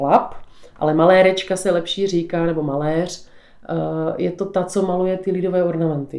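A woman with a South Moravian accent speaks with fairly even intonation. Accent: South Moravian (Podluží) Czech. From South Moravia, Podluží (Břeclav area). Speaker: folk ornament painter. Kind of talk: interview.

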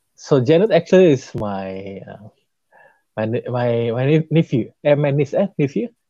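In a dry, close sound with no echo, a man with an Indonesian accent speaks at a medium pitch with a dark, mellow tone, lively intonation and big swings in loudness. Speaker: podcast host, stroke survivor. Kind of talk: interview. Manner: halting.

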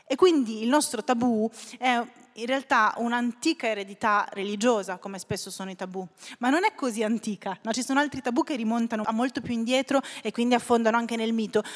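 A woman's plain, everyday voice, fairly high-pitched with ordinary pitch variation, at a fairly quick pace, in a dry, close sound with no echo. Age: 30s. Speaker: writer. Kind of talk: interview.

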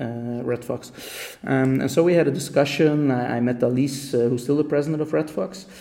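Noticeable background noise sits behind a man speaking at a medium pitch and a moderate pace. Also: ordinary pitch variation. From Belgium, Ghent (Flanders). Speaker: political youth organizer. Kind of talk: interview. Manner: halting.

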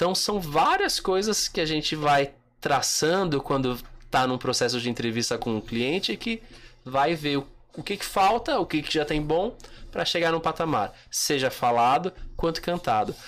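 A man with a plain, everyday voice speaks at a moderate pace. His pitch sits fairly high and his intonation is lively. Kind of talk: casual chat.

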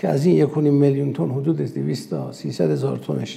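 A man speaks with an Azerbaijani accent. His pace is moderate. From Iran, Urmia (West Azerbaijan). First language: Azerbaijani (speaking Persian). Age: 60s. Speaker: company executive, food manufacturer. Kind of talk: interview. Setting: science park. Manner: formal.

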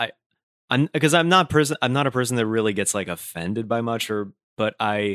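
With a General American accent, a man in an unremarkable speaking voice talks at a fairly quick pace, fairly low in pitch with lively intonation, sounding dry and close with no echo on a very clean recording with a silent background. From Brooklyn, New York. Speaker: comedian and voice actor. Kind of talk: casual interview chat.

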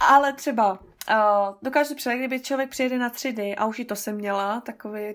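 Very clean recording, silent background, as a woman speaks at a moderate pace. She has an unremarkable speaking voice with a fairly high pitch. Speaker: tour guide. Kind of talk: interview.

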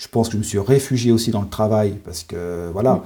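A man's somewhat breathy, dark, mellow voice, fairly low in pitch, at a very fast pace with ordinary pitch variation. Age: 40s. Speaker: sophrologist and forest therapist. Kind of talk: interview.

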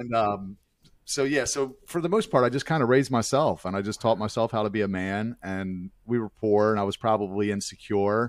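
In a very clean recording with a silent background, a man with an American accent talks at a fairly quick pace in a fairly low pitch, using ordinary pitch variation and a normal speaking voice. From Baltimore, Maryland. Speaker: nonprofit ministry founder, former stripper. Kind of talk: interview testimony.

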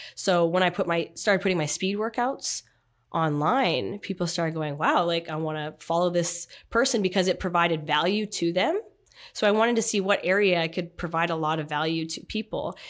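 A plain, everyday voice from a woman with a Canadian accent, pitched fairly low, moving at a fairly quick pace with ordinary pitch variation. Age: 30s. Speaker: athlete. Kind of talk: casual interview.

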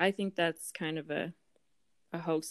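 On a very clean recording with a silent background and a dry, close sound with no echo, a woman uses an ordinary speaking voice, fairly low in pitch, with ordinary pitch variation. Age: 20s. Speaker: real estate agent and stepmom. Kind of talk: casual interview.

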